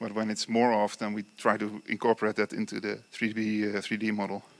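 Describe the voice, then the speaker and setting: The man's bright, sharp tone sits at a medium pitch, with a Dutch accent. He speaks at a moderate pace in a very clean recording with a silent background. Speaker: construction company engineer / presenter. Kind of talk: lecture. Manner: halting, many fillers.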